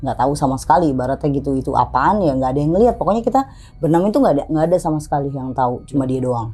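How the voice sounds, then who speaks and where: A woman speaks very fast with a very deep, low pitch, an animated tone and lively intonation, hardly pausing at all. Music plays in the background. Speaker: storyteller guest on horror podcast. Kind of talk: casual storytelling interview. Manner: loud.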